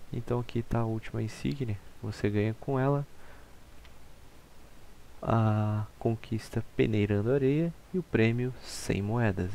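Speaking at a fairly slow pace with a Brazilian accent, a man uses a medium pitch with ordinary variation and long, frequent pauses. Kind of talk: casual gaming walkthrough narration.

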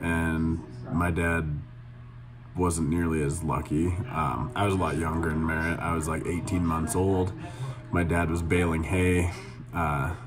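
A man with a very deep, low pitch speaks with fairly even intonation and very even loudness, leaving long, frequent pauses over clear music in the background. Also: fairly slow pace. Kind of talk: casual vlog chat. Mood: earnest, reflective. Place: office. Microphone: phone near.

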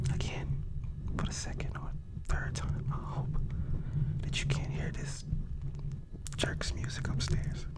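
A soft-spoken man whispers at a moderate pace. Loud background noise is present. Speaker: ASMR creator. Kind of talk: casual vlog chat. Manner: soft close-mic whisper. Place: home room. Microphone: studio mic.

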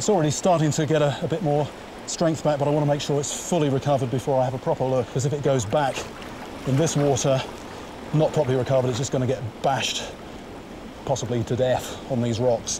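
Noticeable background noise sits under a man talking at a very fast pace. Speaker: presenter. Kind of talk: commentary. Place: waterside. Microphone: lapel.

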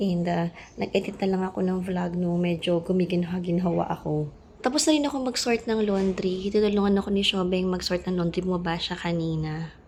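This woman speaks at a fairly quick pace in a medium pitch. Her voice is somewhat breathy, with ordinary pitch variation. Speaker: vlogger. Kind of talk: casual vlog talk to camera. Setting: at home.

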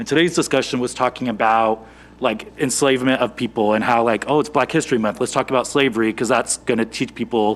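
The man's pitch is medium. He speaks very fast. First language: not English. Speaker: school board member and teacher. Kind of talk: board meeting remarks. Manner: halting.

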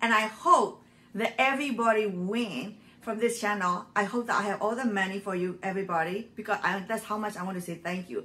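Moving at a moderate pace, the voice carries a bright, sharp tone. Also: woman. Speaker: frugal living channel host. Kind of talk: casual vlog chat. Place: kitchen. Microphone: phone near.

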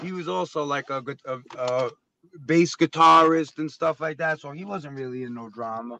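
Recorded with a dry, close sound and no echo, a man with a New York accent shows big swings in loudness. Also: fairly high pitch for a man, ordinary pitch variation, moderate pace. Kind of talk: casual chat.

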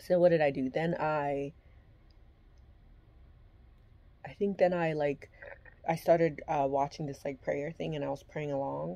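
A woman with a very deep, low pitch and a dark, mellow tone speaks at a fairly slow pace with ordinary pitch variation. She leaves long, frequent pauses, and her loudness swings widely. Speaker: vlogger. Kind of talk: casual vlog chat. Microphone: phone near.

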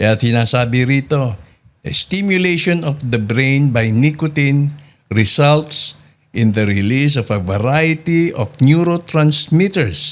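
A man at medium pitch with lively intonation and a very slow pace, on a very clean recording with a silent background. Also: very even loudness. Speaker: news program host and advocacy convener. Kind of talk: news-style commentary; interview. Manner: formal.

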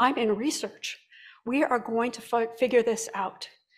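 Against a quiet background, a woman with an ordinary speaking voice talks at a fairly high pitch with fairly even intonation. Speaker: clinical research administrator; presenter. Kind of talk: conference presentation. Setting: conference room with live audience. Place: hall. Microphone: podium.

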